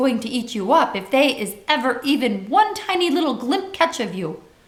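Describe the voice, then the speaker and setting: In a put-on character voice, raised and projected, the speaker keeps a moderate pace. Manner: warning.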